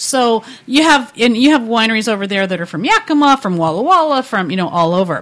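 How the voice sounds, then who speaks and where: Over noticeable background noise, a woman talks at a fairly quick pace with a fairly high pitch and very wide pitch swings. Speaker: wine and food event organizer. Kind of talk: casual chat.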